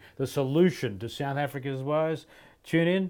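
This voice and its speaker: A man with an Australian accent speaks with ordinary pitch variation in a very clean recording with a silent background. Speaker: rugby podcast host. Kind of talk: casual sports chat.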